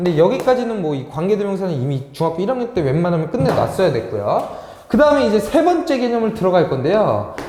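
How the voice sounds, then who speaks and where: Amid noticeable background noise and audible room echo, a man speaks at a very fast pace and a high pitch, with very wide pitch swings. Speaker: English academy teacher. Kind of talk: lecture. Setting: classroom recorded on camera.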